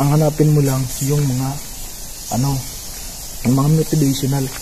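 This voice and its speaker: A man speaks at a fairly high pitch in a monotone, flat intonation. Noticeable background noise can be heard. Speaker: cave explorer vlogger. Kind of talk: casual vlog narration. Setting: outdoors in a cave. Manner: loud; halting, self-correcting.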